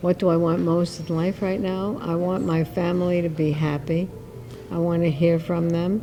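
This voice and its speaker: Monotone, flat intonation from a woman at a fairly low pitch, with music in the background. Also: moderate pace. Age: 80s+. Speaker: interviewee, retiree. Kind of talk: interview.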